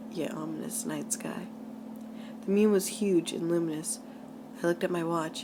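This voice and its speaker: Speaking at a fairly quick pace amid noticeable background noise, a woman uses medium pitch with ordinary pitch variation. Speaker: amateur creepypasta reader. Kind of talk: read horror story. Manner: stuttering at times.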